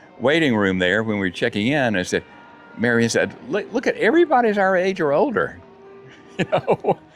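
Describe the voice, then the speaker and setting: A man at a fairly quick pace, his loudness very even, with music in the background. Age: 70s. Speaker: retiree vlogger. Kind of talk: casual chat. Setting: outdoors. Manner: halting.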